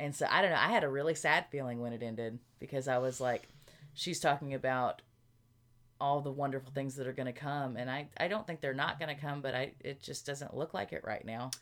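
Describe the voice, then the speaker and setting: A woman with a Southern US accent speaks at a very deep, low pitch. Her pace is fairly quick, with ordinary pitch variation. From Arkansas, US South. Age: 30s. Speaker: podcast co-host. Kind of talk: casual chat.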